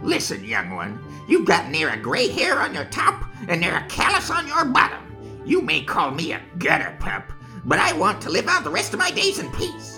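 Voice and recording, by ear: Clear music plays in the background while a man speaks at a moderate pace.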